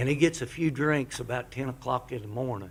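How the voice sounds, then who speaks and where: Somewhat breathy, a man speaks at medium pitch with an American accent. His pace is moderate. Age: 70s. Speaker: pastor. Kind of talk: public comment at town council meeting. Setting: town council meeting chamber. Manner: halting.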